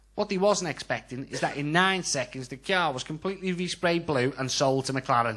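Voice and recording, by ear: A man talks at a fairly quick pace with a Scouse accent and a fairly high pitch. His tone is fairly bright, with ordinary pitch variation. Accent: Scouse, Liverpool.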